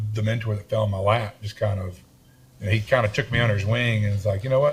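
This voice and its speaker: Here is a man with a medium-pitched voice. He sounds somewhat breathy. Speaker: construction entrepreneur. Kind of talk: interview conversation. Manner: halting, many repeated words.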